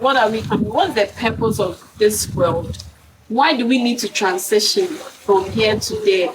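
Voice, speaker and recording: With noticeable background noise, a woman speaks at a fairly slow pace. Her pitch is fairly high, with ordinary variation. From Ghana. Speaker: poet. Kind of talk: interview answer.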